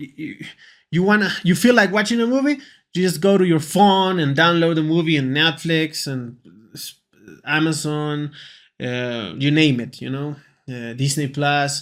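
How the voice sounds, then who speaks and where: In a Peruvian accent, the speaker goes at a fairly slow pace with long, frequent pauses, in a very clean recording with a silent background. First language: Spanish. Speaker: English teacher. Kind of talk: casual lesson talk to camera. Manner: hesitant, with fillers and repetitions.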